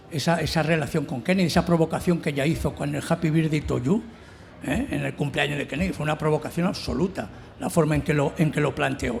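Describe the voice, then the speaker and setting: In a plain, everyday voice, a man talks fairly quickly at a fairly high pitch. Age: 60s. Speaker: novelist on a literary panel. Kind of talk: round table discussion.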